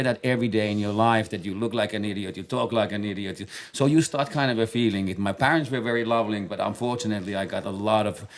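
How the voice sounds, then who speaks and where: Here a man talks at a very fast pace. His pitch is fairly low. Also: very clean recording, silent background. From Finland. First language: Finnish. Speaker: base jumper and podcast co-host. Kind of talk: casual chat. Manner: halting, many fillers and repetitions.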